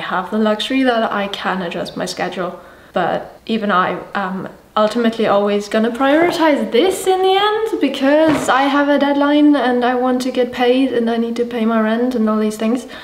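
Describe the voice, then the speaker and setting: A woman's high voice with lively intonation at a moderate pace, with audible room echo and light background noise. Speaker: illustrator. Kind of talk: casual vlog talk to camera. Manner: mumbling, unscripted. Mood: animated, slightly exasperated. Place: home room.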